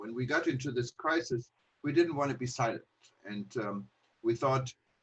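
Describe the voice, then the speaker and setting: With a German accent, a man speaks in a somewhat breathy voice at medium pitch with fairly even intonation. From Germany. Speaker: travel news publisher. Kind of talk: online panel talk. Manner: halting, many fillers.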